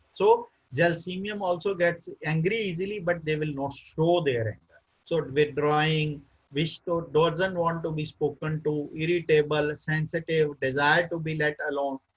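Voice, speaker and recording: A man's fairly high pitch, an ordinary speaking voice, moderate pace. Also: fairly even intonation. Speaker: homeopathic physician and lecturer. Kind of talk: lecture. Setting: webinar.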